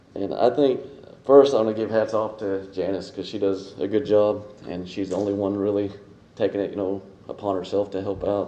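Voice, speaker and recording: A man with an American accent speaks at a fairly quick pace in a fairly low, dark, mellow voice with fairly even intonation. Audible room echo can be heard. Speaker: public commenter, property owner. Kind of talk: public comment at council meeting. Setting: city council meeting. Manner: halting.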